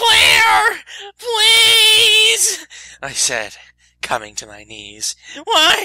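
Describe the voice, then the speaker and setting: This put-on character voice sits at an extremely high pitch and moves at a very slow pace, with long, frequent pauses. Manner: shouting, anguished.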